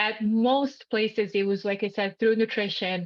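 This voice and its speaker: A woman speaks in a Bosnian accent at a medium pitch. Her pace is fairly slow and her intonation fairly even. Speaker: health coach and nutritionist. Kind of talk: educational seminar.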